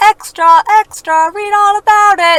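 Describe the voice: Pitched extremely high, a put-on character voice goes at a fairly slow pace.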